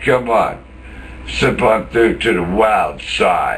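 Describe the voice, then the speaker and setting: Very slow speech amid audible room echo and noticeable background noise. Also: man. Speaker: former jail inmate. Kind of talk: angry rant monologue. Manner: animated.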